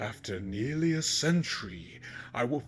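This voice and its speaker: Over music in the background, a man does a put-on character voice at a medium pitch with very wide pitch swings. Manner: mocking, menacing.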